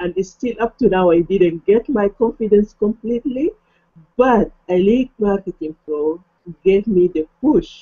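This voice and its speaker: Medium-pitched female voice with lively intonation at a fairly slow pace. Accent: non-native. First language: not English. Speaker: online marketing affiliate, hangout host. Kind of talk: casual chat. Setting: video call.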